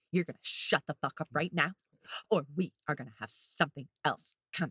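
This is a put-on character voice, raspy and pitched in the middle. It moves at a fairly quick pace. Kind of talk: villain voice. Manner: staccato, threatening, intimidating.

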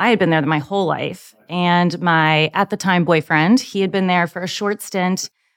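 In a very clean recording with a silent background, a woman with an American accent talks at a moderate pace in a plain, everyday voice, her pitch fairly low. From Virginia, US South. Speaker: translation project manager. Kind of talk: casual chat.

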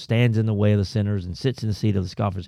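A man speaks in a dark, mellow tone with a Southern US accent. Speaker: pastor. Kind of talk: casual chat. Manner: animated.

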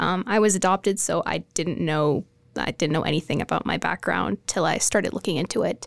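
In a Canadian accent, a woman speaks at a moderate pace with a medium pitch, ordinary pitch variation and vocal fry, the sound dry and close with no echo on a very clean recording with a silent background. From Edmonton, Alberta, Canada. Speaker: college student. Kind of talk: panel discussion.

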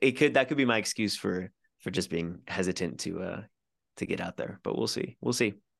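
A man with a fairly low pitch and vocal fry talks at a fairly quick pace with lively intonation. The sound is dry and close, with no echo. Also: quiet background. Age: 20s. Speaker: musician. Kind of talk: casual chat. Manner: halting.

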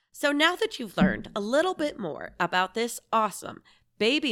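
In a very clean recording with a silent background, a woman's voice moves through very wide pitch swings. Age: 40s. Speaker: science podcast host, former teacher. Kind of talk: scripted narration.

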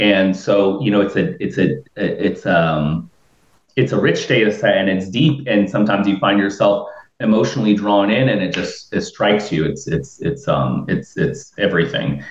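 A man with an American accent talks at a moderate pace in a fairly low pitch, with lively intonation. He has an unremarkable speaking voice. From Florida, Tampa Bay area. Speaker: researcher. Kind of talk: casual chat.

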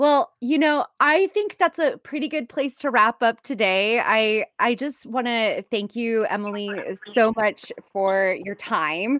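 A woman with an unremarkable speaking voice talks at a fairly slow pace. Her pitch is fairly high and her intonation is lively. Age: 30s. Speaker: podcast host and career coach. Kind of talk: casual interview.

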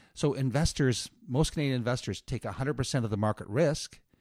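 A man speaks at a fairly quick pace in a normal speaking voice of medium pitch with ordinary pitch variation, the recording very clean with a silent background and a dry, close sound with no echo. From Atlantic Canada (Moncton, New Brunswick). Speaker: author and investor advocate, former banker. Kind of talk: interview. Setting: studio.

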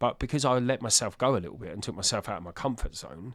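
A man speaks very fast in a very clean recording against a silent background. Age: 40s. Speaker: addiction recovery founder. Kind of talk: casual chat.

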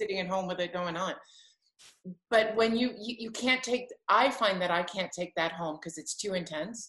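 A woman with an unremarkable speaking voice talks at medium pitch and a moderate pace, with ordinary pitch variation. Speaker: podcast host and singer. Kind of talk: casual chat.

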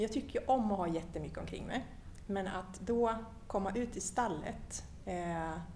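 The recording has audible room echo. A woman talks at a medium pitch and moderate pace with ordinary pitch variation. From Sweden, Linköping. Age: 50s. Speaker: horse association chair and HR manager. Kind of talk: casual interview. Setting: parliament building.

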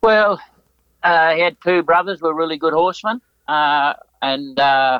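A man speaks with an Australian accent and a fairly high pitch. His pace is fairly slow, with ordinary pitch variation and very even loudness. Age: 80s+. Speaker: retired Olympic show jumper. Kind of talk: interview.

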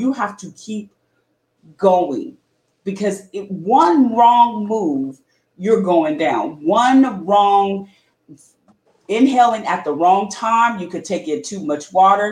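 A woman with a medium pitch and a somewhat breathy voice speaks very slowly, with lively intonation and big swings in loudness. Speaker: sports podcast host. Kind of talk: casual chat. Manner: laughs often.

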